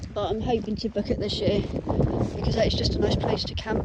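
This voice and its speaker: Fairly quick, monotone speech with flat intonation from a woman with a Suffolk accent, medium in pitch, with noticeable background noise and audible room echo. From Suffolk, England. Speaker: vlogger. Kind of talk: casual chat. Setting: outdoors. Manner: hesitant, with many fillers.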